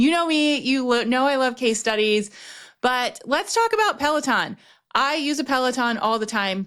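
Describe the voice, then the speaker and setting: On a very clean recording with a silent background, a woman speaks at a high pitch and a fairly quick pace with lively intonation. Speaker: business strategist and podcast host. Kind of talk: casual podcast monologue. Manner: fast when excited.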